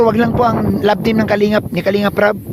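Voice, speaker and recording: A man talks at a fairly quick pace in a high-pitched voice. Noticeable background noise sits behind him. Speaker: vlogger. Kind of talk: casual vlog rant. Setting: outdoors on a mountain.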